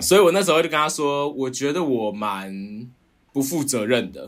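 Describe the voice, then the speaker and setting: This man's voice is fairly high-pitched. His intonation is lively. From Taiwan, Pingtung (Donggang). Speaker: art curator. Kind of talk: casual interview. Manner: halting.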